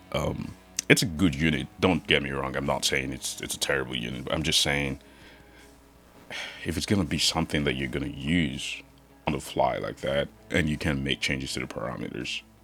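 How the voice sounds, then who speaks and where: Music plays behind a man whose very deep, low voice keeps a fairly even intonation. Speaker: guitar gear YouTuber. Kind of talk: casual product review rant. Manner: hesitant, many fillers and repeats.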